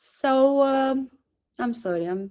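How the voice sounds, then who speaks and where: A dark, mellow tone with lively intonation, in a Romanian accent. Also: woman. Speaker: satsang participant. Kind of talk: Q&A sharing. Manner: halting.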